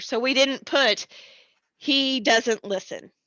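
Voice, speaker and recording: Her pitch varying an ordinary amount, a woman talks at a very slow pace. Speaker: elementary school teacher. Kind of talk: online class lesson. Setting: recorded remote lesson on computer. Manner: loud; animated.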